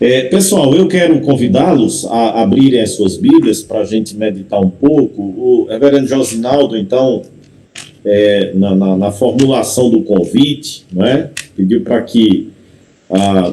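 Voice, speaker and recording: In a strong Paraíba accent, a man with a medium pitch speaks at a fairly slow pace in a dark, mellow tone with lively intonation. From Paraíba, Brazil. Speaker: pastor. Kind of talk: sermon.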